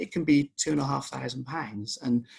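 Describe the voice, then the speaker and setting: The speaker is a man. His voice has vocal fry. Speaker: accountancy firm director. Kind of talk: webinar presentation. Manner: fast.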